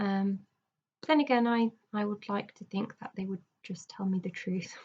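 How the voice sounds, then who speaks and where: Her voice sits at a medium pitch and sounds somewhat breathy. The woman keeps a moderate pace with ordinary pitch variation. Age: 20s. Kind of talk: casual video diary talk to camera. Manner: hesitant, halting, many fillers.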